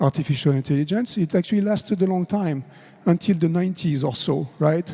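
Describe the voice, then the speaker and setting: Speaking with a French accent at a fairly quick pace, a man uses a high pitch, a dark, mellow tone and ordinary pitch variation. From France. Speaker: conference speaker on AI. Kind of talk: conference talk. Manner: conversational with fillers.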